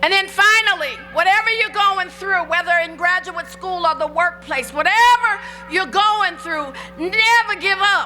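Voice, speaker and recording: Against music in the background, a woman uses a raised, projected voice at an extremely high pitch, speaking fairly slowly with ordinary pitch variation. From Indianapolis. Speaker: professional speaker and lawyer. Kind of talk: commencement speech. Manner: big, broad, animated, engaging.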